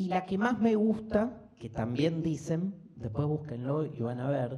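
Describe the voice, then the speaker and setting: With audible room echo, a man speaks at a fairly slow pace in a fairly high pitch, his tone dark and mellow and his pitch swinging very widely. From Argentina, Buenos Aires. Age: 50s. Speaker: philosophy lecturer. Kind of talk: lecture. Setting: live class with audience. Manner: animated, conversational.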